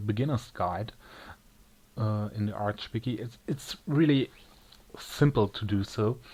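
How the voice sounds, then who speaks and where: With a German accent, a man speaks at a fairly slow pace. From Germany. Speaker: tech tutorial maker. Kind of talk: tutorial. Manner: halting, with many pauses.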